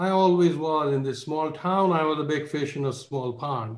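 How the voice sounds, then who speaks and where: A man at a fairly slow pace with ordinary pitch variation, audible room echo and a quiet background. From India. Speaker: finance professor. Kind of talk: panel speech. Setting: video call. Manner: humble. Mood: reflective, grateful. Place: home room. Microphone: video call.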